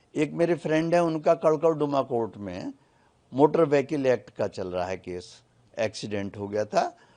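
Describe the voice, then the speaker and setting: Against a quiet background, a man with a fairly high pitch and a dark, mellow tone makes very wide pitch swings and big swings in loudness. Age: 70s. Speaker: lawyer. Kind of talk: interview.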